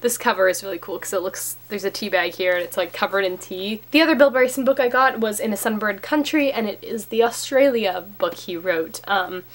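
A woman speaks at a medium pitch with ordinary pitch variation. Her pace is fairly quick, with few pauses.

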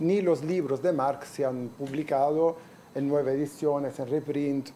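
This man speaks in an Italian accent, his pitch fairly high and his intonation fairly even. He goes at a fairly slow pace over light background noise. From Italy. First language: Italian (speaking Spanish). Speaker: professor. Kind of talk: lecture. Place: classroom.

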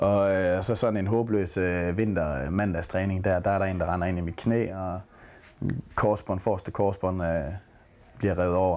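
A man speaks with a very deep, low pitch and fairly even intonation. His pace is fairly slow. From Denmark, Aarhus; Denmark. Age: 20s. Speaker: footballer. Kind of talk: interview. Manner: halting. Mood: relaxed, reflective. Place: home room.

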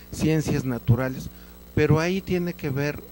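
Over light background noise, a man speaks at a fairly slow pace in a dark, mellow tone, the sound dry with no echo. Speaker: invited guest on an educational TV talk show. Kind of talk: interview answer. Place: studio. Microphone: handheld.

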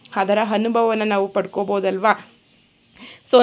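Using a normal speaking voice, a woman talks at a fairly high pitch. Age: 30s. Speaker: travel vlogger. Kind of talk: travel vlog narration.

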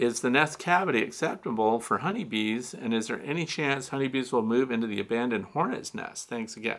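A bright, sharp tone with ordinary pitch variation. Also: man. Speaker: beekeeping show host. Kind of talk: live Q&A commentary. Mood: relaxed, interested. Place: studio.

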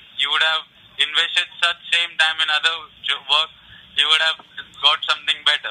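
At a moderate pace, a man talks in a monotone, flat intonation at a fairly high pitch, with very even loudness and long, frequent pauses. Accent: Indian. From India. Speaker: phone scammer. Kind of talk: phone conversation. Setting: phone line.

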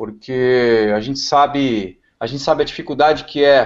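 A man against a quiet background. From Brazil. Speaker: car tuning specialist; talk show guest. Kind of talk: casual chat. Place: home room. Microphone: video call.

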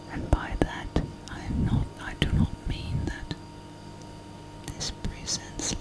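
Very slowly, she whispers. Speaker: life coach, ASMR whisper coach. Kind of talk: guided coaching talk. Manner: whispered, soft-spoken, calming. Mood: calm, teaching. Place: home room.

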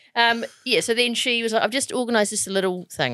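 A woman with a New Zealand accent speaks in a fairly high pitch. Her tone is bright and sharp, with vocal fry. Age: 40s. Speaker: podcast co-host, TV presenter. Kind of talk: casual chat.

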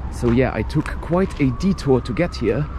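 The speech moves at a moderate pace. There is noticeable background noise, and the sound is dry with no echo. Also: man. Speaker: travel vlogger. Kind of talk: casual vlog chat. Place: open country. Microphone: phone near.

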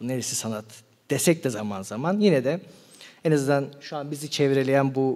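A man with a fairly high pitch speaks at a fairly quick pace, his voice shaky. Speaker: philosophy seminar lecturer. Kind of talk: lecture. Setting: live seminar with audience. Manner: slightly trembling voice. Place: hall. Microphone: studio mic.

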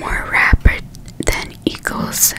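A woman whispers at a very slow pace. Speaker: ASMR creator. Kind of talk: reading a story aloud. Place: home room. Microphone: studio mic.

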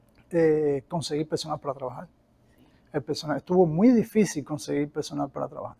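Somewhat breathy and dark, mellow in tone, a man's fairly high voice moves at a fairly quick pace. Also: big swings in loudness. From Cuba. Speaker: cleaning company owner; guest. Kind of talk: interview; interview answer. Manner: halting, many repetitions. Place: meeting room. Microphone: lapel.

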